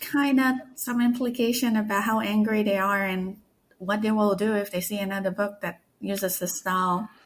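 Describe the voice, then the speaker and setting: A woman speaks with a somewhat breathy voice. Her pace is fairly slow. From Malaysia. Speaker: author. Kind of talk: casual interview.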